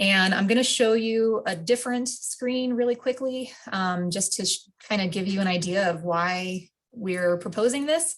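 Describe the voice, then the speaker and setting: Moderate speed, ordinary pitch variation, and an ordinary speaking voice. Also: woman, medium pitch for a woman. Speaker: wildlife biologist. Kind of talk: public meeting presentation. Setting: video call.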